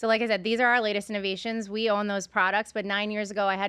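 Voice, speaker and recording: A woman with a strong New York accent, medium-pitched and very fast, bright and sharp in tone, flat and monotone throughout. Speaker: podcast host and beverage entrepreneur. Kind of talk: casual interview chat.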